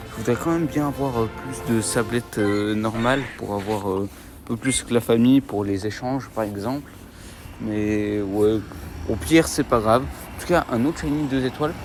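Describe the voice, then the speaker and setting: Medium pitch from a man, with ordinary pitch variation and a moderate pace, over noticeable background noise. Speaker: gaming YouTuber. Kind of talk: mobile game commentary while playing outdoors. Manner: animated.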